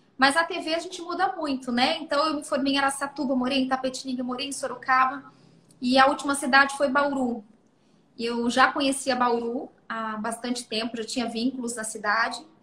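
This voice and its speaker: A woman's high, bright, sharp voice, raised and projected. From Brazil, Mato Grosso do Sul; moved to São Paulo state at 12. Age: 30s. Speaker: mayor and former TV journalist. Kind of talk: interview.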